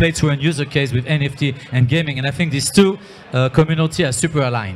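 Light background noise sits behind a man's fairly high voice. His pitch varies in an ordinary way. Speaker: startup founder and film director. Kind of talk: panel discussion. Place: hall. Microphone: handheld.

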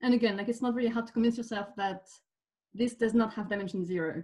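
Over a quiet background, a woman with a dark, mellow tone speaks somewhat breathily with ordinary pitch variation. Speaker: speaker. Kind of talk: lecture. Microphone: webcam.

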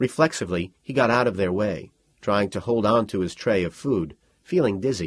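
The passage is read aloud in a natural voice.

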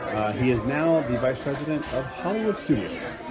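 Loud music plays in the background while a man speaks. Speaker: vlogger. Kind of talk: casual vlog chat. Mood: playful, joking. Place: shop. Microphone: phone near.

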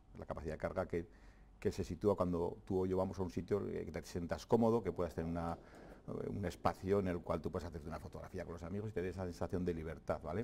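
Talking at a very fast pace, a man has a very deep, low voice with a dark, mellow tone and fairly even intonation. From Navarre, Spain (Fustiñana, Ribera). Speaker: president of a land-management community. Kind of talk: TV interview. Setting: TV studio. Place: studio. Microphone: lapel.

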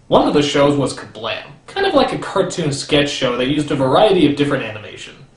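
A man talking at a very fast pace, with audible room echo and light background noise. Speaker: comedic TV reviewer. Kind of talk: comedic review commentary.

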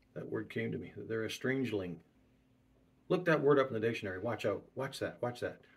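A man talks at a fairly quick pace, his somewhat breathy voice moving with lively intonation. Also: medium pitch for a man. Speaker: preacher. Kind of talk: sermon. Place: home room. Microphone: webcam.

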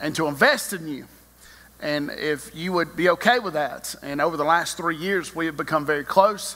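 Bright and sharp in tone, a man speaks at a moderate pace with ordinary pitch variation. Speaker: preacher. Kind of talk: sermon. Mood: warm, smiling. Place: church. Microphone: podium.

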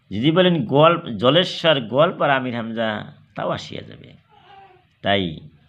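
In a room with audible echo, a man speaks at a fairly high pitch with lively intonation. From Assam, India. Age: 50s. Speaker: Islamic preacher and YouTuber. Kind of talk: religious sermon. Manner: halting.

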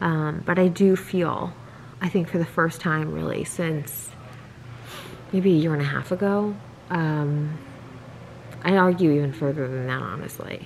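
Over light background noise, a woman with a very deep, low pitch speaks at a fairly slow pace with long, frequent pauses. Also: ordinary pitch variation. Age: 30s. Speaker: vlogger. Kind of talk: casual vlog talk to camera. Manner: casual, filler-heavy. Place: home room. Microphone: phone near.

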